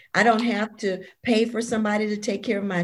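A woman talks at a moderate pace in an ordinary speaking voice. Her pitch sits in the medium range. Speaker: author. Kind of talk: interview.

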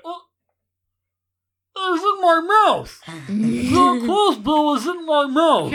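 A high-pitched put-on character voice at a very slow pace, with long, frequent pauses. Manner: muffled, as if something is in the mouth.

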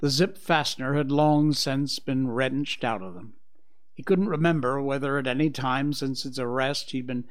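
The voice reads in an unforced way. Its intonation remains fairly even.

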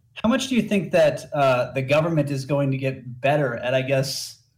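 A man's fairly high-pitched, somewhat breathy voice. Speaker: caller. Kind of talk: call-in conversation. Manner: halting.

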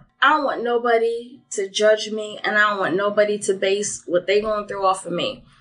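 A woman talks at a moderate pace with hardly any pauses, in an ordinary speaking voice. Her pitch is medium and her intonation fairly even. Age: 30s. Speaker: podcast guest. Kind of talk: casual chat.

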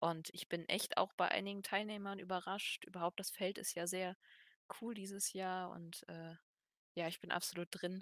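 A woman's medium-pitched voice, monotone and flat, at a moderate pace, dry and close with no echo. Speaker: wrestling fan co-host. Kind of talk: casual chat.

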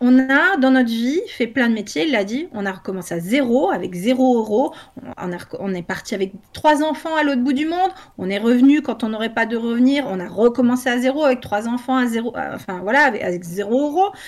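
Lively intonation marks this woman's speech. Her voice sits high in pitch. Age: 40s. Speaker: homeschooling parent and educational content creator. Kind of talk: casual chat.

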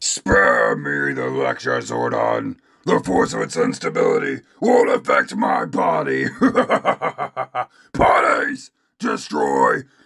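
A raspy, put-on character voice from a man at a fairly slow pace with long, frequent pauses. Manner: furious, arrogant, barking orders.

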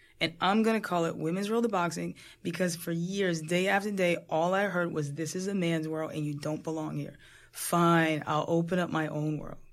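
With an ordinary speaking voice, a woman talks at a moderate pace in a fairly low pitch, her intonation fairly even. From New Jersey suburbs. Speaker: boxing coach and gym owner. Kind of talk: interview.

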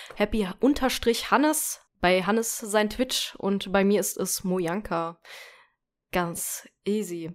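A woman's voice at a very slow pace with ordinary pitch variation, on a very clean recording with a silent background. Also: medium pitch for a woman. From western Germany (North Rhine-Westphalia). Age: 20s. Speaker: podcast co-host, Twitch streamer. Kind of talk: casual chat.

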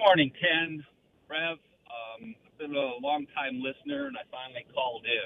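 A man with an American accent speaks at a fairly high pitch with ordinary pitch variation. His pace is moderate, broken by long, frequent pauses. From Chicago area. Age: 60s. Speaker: construction worker, caller. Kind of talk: phone-in call.

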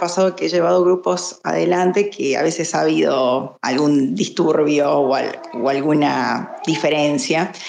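Vocal fry runs through a woman's lively intonation as she speaks at a fairly slow pace. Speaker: lawyer. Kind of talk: casual discussion.

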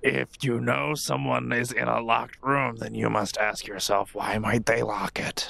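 A man puts on a raspy character voice, pitched fairly low. His pitch swings very widely at a moderate pace. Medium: actual play. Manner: dry, curt.

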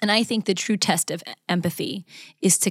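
A woman with an American accent, somewhat breathy and fairly even in intonation, speaks at a fairly quick pace in a very clean recording with a silent background and a dry, close sound with no echo. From US West, Las Vegas, Nevada. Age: 30s. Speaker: communications professor and mindset coach. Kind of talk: interview conversation.

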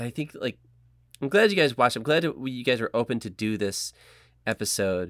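Despite long, frequent pauses the pace is fairly quick, in a very clean recording with a silent background and a dry, close sound with no echo. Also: man, medium pitch for a man, lively intonation. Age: 40s. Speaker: podcast host. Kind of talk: casual chat.

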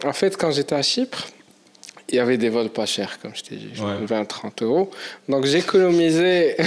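A man speaks at a fairly slow pace with long, frequent pauses, his fairly high voice swinging very widely in pitch and greatly in loudness over noticeable background noise. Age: 20s. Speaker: entrepreneur and world traveller. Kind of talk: casual interview chat.

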